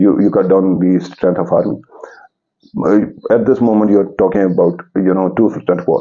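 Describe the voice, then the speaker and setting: A man speaks in a fairly low pitch with fairly even intonation. His loudness stays very even, broken by long, frequent pauses. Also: moderate pace. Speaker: political commentator. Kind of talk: political commentary monologue. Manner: halting.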